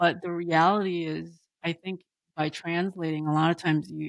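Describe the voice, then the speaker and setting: A woman with a non-native accent speaks at a fairly slow pace, her pitch fairly low and her intonation monotone and flat. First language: not English. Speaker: architectural historian and geographer. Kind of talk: casual chat. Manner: halting.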